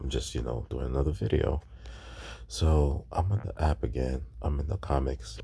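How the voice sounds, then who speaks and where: A soft-spoken man with a very deep, low pitch, a dark, mellow tone, vocal fry, ordinary pitch variation and a moderate pace. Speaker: YouTube collectibles tutorial creator. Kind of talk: tutorial. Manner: hesitant, many fillers.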